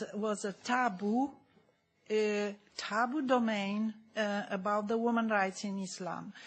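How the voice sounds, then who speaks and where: Her intonation stays monotone and flat as this woman talks in a somewhat breathy voice. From Germany. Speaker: audience member asking a question. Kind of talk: Q&A question from the floor. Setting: conference hall. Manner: halting, many fillers.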